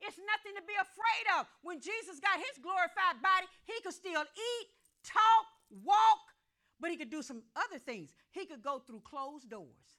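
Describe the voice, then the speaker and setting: A woman's raised, projected voice, extremely high in pitch, bright and sharp, animated in tone, with very wide pitch swings, big swings in loudness and a moderate pace. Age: old. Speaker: pastor. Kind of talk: sermon.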